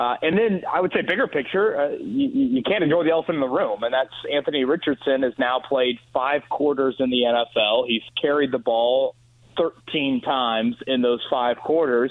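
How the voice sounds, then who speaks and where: This is a man with an ordinary speaking voice, pitched fairly high. His pitch varies in an ordinary way, and his loudness stays very even. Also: moderate pace, hardly any pauses. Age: 30s. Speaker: sports radio host. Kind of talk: phone-in sports talk.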